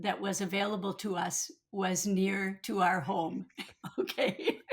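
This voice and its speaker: Monotone, flat intonation in a Minnesotan accent. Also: woman. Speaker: retired pediatrician, cancer survivor and advocate. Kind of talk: interview.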